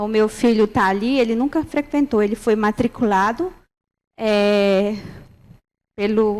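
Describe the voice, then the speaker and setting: The speech moves at a fairly slow pace, with long, frequent pauses and ordinary pitch variation. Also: woman, fairly high pitch for a woman. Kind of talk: panel presentation. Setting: university round table with audience. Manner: halting, many fillers.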